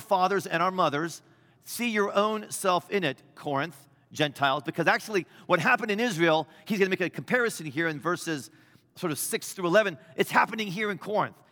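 A man speaks fast with a high pitch and lively intonation. His tone is bright and sharp. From US Midwest. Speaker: bishop. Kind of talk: sermon. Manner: loud at times.

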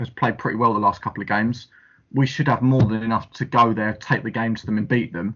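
A man talks in a plain, everyday voice with fairly even intonation. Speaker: podcast host. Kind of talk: casual chat about football.

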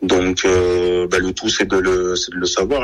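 Noticeable background noise accompanies a man whose pitch is very deep and low. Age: 30s. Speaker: rugby player. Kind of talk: radio interview. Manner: halting.

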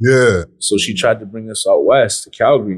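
A man speaks at a fairly slow pace in a medium pitch. His voice has ordinary pitch variation. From Saskatchewan, Canada (Plains Cree and Anishinaabe). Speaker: rapper. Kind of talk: casual interview chat. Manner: laid back.

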